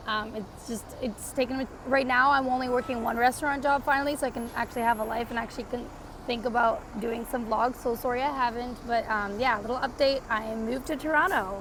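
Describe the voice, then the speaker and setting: A woman with a high pitch keeps her intonation fairly even against noticeable background noise. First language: Portuguese. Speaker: vlogger. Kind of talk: casual vlog update. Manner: casual, filler-heavy.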